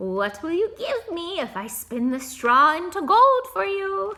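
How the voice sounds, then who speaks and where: Putting on a character voice, a woman speaks at a fairly slow pace in a high pitch with very wide pitch swings. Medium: read story. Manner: sly, bargaining.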